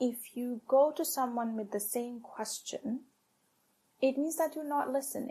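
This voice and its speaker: Having a non-native accent, a woman speaks at a fairly slow pace with a high pitch, ordinary pitch variation and a dark, mellow tone. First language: not English. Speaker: tech operations leader. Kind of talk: podcast interview.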